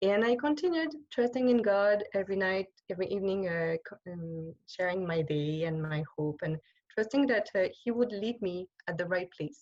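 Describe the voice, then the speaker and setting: Speaking at a moderate pace, a woman with a French accent uses lively intonation. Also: medium pitch for a woman. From France. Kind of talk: online talk with slides. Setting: video call. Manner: halting.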